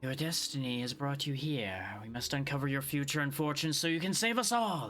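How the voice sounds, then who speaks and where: A man puts on a raspy character voice with a fairly high pitch. He talks at a fairly quick pace. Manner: mystical, ominous.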